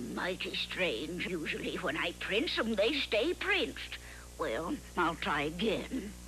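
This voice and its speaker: A cartoonish character voice that sounds female moves at a fairly slow pace against clear background noise. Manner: chirpy, folksy.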